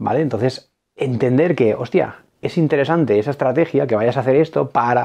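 A man at a medium pitch with a dark, mellow tone, ordinary pitch variation, a fairly quick pace and very even loudness. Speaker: board game youtuber. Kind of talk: casual monologue. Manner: fast; animated.

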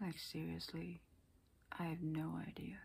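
The speaker is a woman. She talks at a very slow pace. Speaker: aspiring actor. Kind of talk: casual talk to camera. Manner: unscripted, hesitant. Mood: pensive, introspective. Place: home room. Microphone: webcam.

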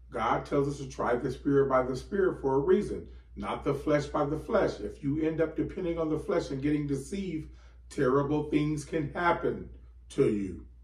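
Audible room echo around a man speaking at a moderate pace. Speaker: bible teacher. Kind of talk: sermon. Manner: animated. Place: home room. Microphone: camera far.

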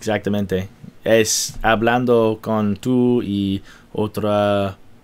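At a very slow pace, a man speaks in a fairly low pitch with monotone, flat intonation. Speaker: YouTuber learning Spanish. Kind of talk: vlog to camera; language lesson conversation.

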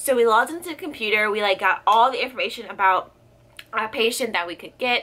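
Speaking very fast in a bright, sharp tone, a woman keeps a fairly high pitch with ordinary pitch variation while her loudness swings widely. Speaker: nursing student vlogger. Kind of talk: casual vlog. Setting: home video blog. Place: home room. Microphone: phone near.

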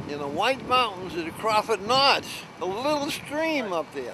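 A man speaks at a high pitch in a dry sound with no echo. Light background noise can be heard. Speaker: local storyteller on boat trip. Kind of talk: casual interview answer. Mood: cheerful, reminiscing. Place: boat. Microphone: phone near.

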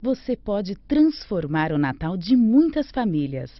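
A woman speaks at a fairly slow pace with very wide pitch swings, the sound dry with no echo and the background quiet. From Brazil. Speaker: radio announcer. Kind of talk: radio commercial read. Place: studio.

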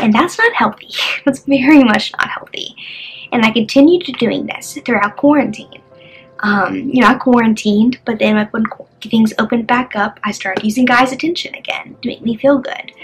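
A woman with a high-pitched voice talks while music plays in the background. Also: ordinary pitch variation, moderate pace. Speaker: vlogger. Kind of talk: personal testimony, casual talk to camera. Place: home room. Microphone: phone near.

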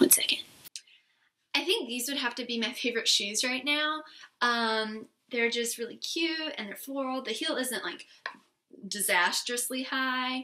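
A raised, projected voice with an American accent and a bright, sharp tone. It moves at a fairly slow pace with ordinary pitch variation and long, frequent pauses. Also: woman, high pitch for a woman. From South Carolina. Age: young. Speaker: beauty vlogger. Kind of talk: casual vlog monologue. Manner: animated. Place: home room. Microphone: webcam.

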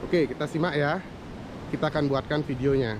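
Over noticeable background noise, a man talks at a very fast pace with a dry sound and no echo. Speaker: travel vlogger. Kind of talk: casual vlog chat. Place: beach. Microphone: phone near.

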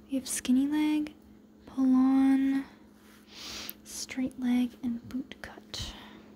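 Someone whispers at a very slow pace with long, frequent pauses over light background noise. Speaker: ASMR creator. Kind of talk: ASMR magazine flip-through rambling. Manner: whispered. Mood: relaxed, calm. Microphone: phone near.

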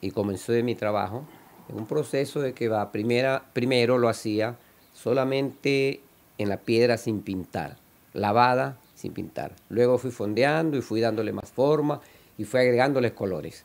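A man talks fairly slowly, his medium-pitched voice varying in pitch in an ordinary way. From Ecuador (Quevedo, Guayaquil). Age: 60s. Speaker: artist. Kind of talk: interview monologue. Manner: halting, with repetitions.

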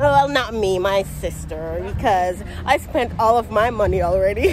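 A woman speaks fairly slowly in a Jamaican accent. Crowd noise sits in the background, and the sound is dry with no echo. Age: 20s. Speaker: vlogger. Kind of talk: casual vlog talk to camera. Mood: cheerful, relaxed. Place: street. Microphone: phone near.

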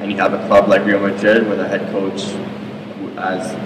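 A woman talks at a fairly quick pace with noticeable background noise around her. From Toronto, Canada. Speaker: professional soccer player. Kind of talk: interview. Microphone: handheld.

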